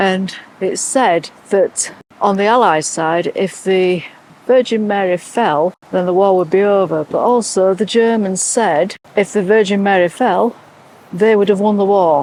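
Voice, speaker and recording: A woman speaks at medium pitch in an English accent, with ordinary pitch variation. Her pace is fairly slow and her loudness very even. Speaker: travel vlogger. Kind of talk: casual vlog narration.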